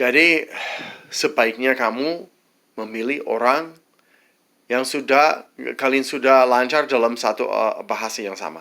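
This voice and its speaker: A man speaks at a medium pitch in a bright, sharp tone with ordinary pitch variation. He goes fairly slowly, with long, frequent pauses. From United States. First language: English (speaking Indonesian). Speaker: vlogger, widower of an Indonesian wife. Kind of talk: advice monologue. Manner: halting, many false starts.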